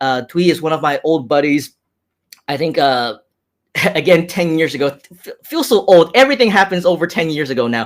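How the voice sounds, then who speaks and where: With lively intonation, a man talks at a fairly quick pace broken by long, frequent pauses. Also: fairly high pitch for a man. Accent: American. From grew up in the US, Hong Kong-born. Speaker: online marketing entrepreneur, live streamer. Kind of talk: live stream chat reading comments. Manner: animated.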